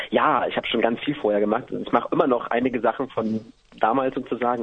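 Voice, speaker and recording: A man speaks at a fairly quick pace with a medium pitch. There is noticeable background noise. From eastern Germany, Halle an der Saale. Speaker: singer. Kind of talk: radio interview. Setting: phone call.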